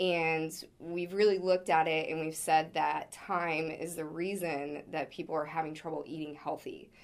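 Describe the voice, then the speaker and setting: On a very clean recording with a silent background, a woman speaks at a moderate pace. Her pitch is very deep and low, with fairly even intonation. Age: 20s. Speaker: startup co-founder and president. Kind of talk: interview.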